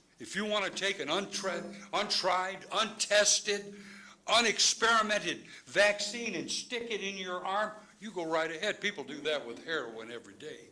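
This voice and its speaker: A man with an American accent uses a raised, projected voice that sits high in pitch, with big swings in loudness. Noticeable background noise runs under the recording. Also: ordinary pitch variation, moderate pace. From Chicago. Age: 70s. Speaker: public commenter at school board meeting. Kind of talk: public comment speech. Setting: public board meeting. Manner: impassioned; halting, with many fillers.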